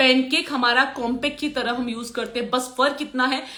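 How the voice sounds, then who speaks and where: A woman with a high pitch, a bright, sharp tone and a moderate pace. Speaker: makeup and hair artist and trainer. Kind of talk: live stream Q&A teaching. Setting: social media live video. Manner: hesitant, many fillers.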